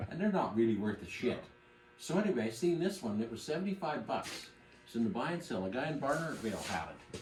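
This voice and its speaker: Very wide pitch swings and a very fast pace come through amid noticeable background noise and audible room echo. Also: man, fairly high pitch for a man. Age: 60s. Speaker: classic car collector. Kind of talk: casual chat.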